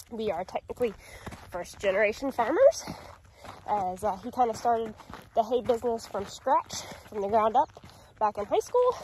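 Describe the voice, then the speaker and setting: Speaking at a moderate pace with ordinary pitch variation and long, frequent pauses, a woman is heard in a dry sound with no echo and light background noise. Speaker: farm vlogger. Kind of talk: casual vlog chat. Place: open country. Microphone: phone near.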